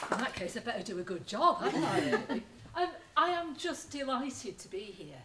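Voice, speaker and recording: A woman with a Lancashire accent talks fairly quickly at a high pitch, her pitch swinging very widely and her loudness shifting a lot over noticeable background noise. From northern England, Lancashire. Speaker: retired teacher and environmental educator. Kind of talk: talk to an audience.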